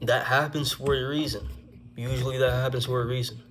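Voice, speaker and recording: A man's monotone, flat delivery at a fairly quick pace, with audible room echo. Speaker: vlogger telling personal stories. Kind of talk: casual story time monologue. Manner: stuttering at times.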